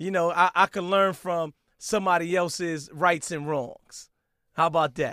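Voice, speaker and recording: A man with a New York accent speaks at a moderate pace in a high, bright, sharp voice with fairly even intonation. The sound is dry and close with no echo, and the recording is very clean against a silent background. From Brooklyn, New York. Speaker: radio DJ. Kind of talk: interview.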